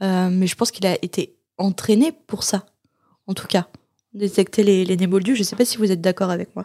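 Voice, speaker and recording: With a dark, mellow tone, a woman speaks at medium pitch and a moderate pace, her intonation fairly even. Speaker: podcast host. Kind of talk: casual chat.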